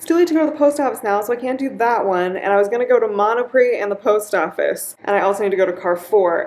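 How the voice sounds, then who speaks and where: A woman speaks at a high pitch with very wide pitch swings. Noticeable background noise runs underneath. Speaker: English teaching assistant. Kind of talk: casual vlog talk to camera. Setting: apartment with fan noise, noise-reduced. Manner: casual, filler-heavy.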